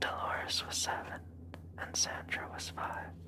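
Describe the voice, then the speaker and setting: Noticeable background noise is present. The voice is a whisper. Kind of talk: ASMR whispered horror story reading. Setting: close-mic studio recording. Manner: whispered, soft.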